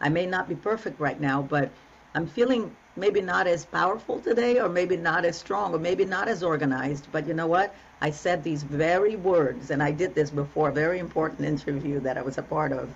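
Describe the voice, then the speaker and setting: Talking at a fairly quick pace, a woman with an unremarkable speaking voice has a fairly low pitch and lively intonation. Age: 60s. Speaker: relationship coach. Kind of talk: interview conversation. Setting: podcast.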